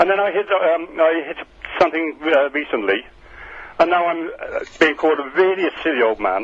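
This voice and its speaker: There is noticeable background noise as a man speaks with a high pitch and lively intonation. He keeps a moderate pace. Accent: British. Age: 70s. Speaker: radio phone-in caller. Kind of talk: phone-in call. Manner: halting.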